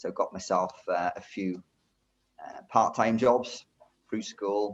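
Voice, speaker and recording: A man speaks with a Welsh accent. His pace is moderate. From Wales, rural Brecon area. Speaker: driving instructor. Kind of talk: interview, life story. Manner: hesitant, many fillers and repeats.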